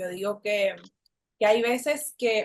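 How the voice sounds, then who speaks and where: A woman with a Puerto Rican accent and fairly even intonation. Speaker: emotional recovery coach. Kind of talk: interview.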